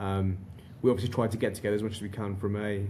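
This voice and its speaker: A man speaks very fast in a flat monotone, fairly low in pitch, somewhat breathy, with a dark, mellow tone. Audible room echo is present. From northern England, Darlington. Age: 40s. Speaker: recruitment company director. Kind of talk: podcast interview. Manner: repetitive false starts.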